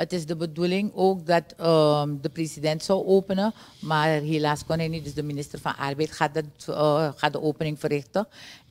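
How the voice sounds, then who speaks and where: Her intonation fairly even, a woman speaks at a very deep, low pitch. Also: moderate pace. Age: 60s. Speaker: trade union leader; guest. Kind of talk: TV interview. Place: studio. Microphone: studio mic.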